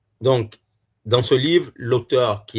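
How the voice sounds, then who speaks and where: A man's somewhat breathy voice at a very slow pace, on a very clean recording with a silent background. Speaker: YouTuber reviewing books. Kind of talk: casual book review monologue. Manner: hesitant, many filler sounds.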